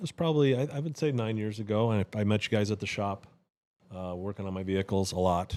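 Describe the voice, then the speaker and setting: Delivered at a very fast pace with a Wisconsin accent and ordinary pitch variation, the voice sits on a very clean recording with a silent background. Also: man. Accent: Wisconsin accent, noticeable to Southerners. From Wisconsin, USA. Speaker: churchgoing friend. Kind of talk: casual chat, testimony. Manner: halting, many restarts.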